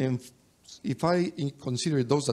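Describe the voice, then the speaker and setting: A man speaks with a Mexican accent at a fairly quick pace. His intonation is lively. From Mexico. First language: Spanish. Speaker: higher education expert, panelist. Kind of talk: panel discussion. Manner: halting.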